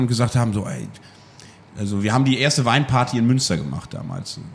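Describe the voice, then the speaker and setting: At a fairly quick pace, the speech uses ordinary pitch variation in an unremarkable speaking voice. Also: man. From East Frisia, northern Germany. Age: 30s. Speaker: wine bar owner. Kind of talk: interview. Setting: in his wine bar.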